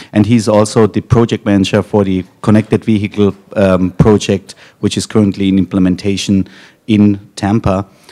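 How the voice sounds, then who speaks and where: A man's fairly low voice with a German accent, dry and close with no echo. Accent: German accent, noticeable. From Germany. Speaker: technology company executive. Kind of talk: conference panel moderation. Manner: hesitant, many fillers.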